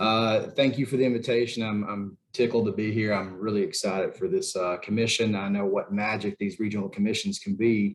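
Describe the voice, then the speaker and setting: A man's fairly low voice with a Southern US accent, fairly quick pace, fairly even intonation, and hardly any pauses. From Tennessee (Chattanooga). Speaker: federal program official. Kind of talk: panel discussion.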